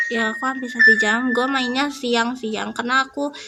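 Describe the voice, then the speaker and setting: A woman's high-pitched voice comes through with noticeable noise in the background. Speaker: gaming youtuber. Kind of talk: let's play commentary. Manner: animated.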